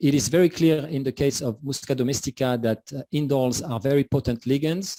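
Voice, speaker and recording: In a French accent, a man speaks at a medium pitch with a dark, mellow tone, the sound dry and close with no echo. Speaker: scientist presenting research. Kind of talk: conference talk. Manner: hesitant, many fillers.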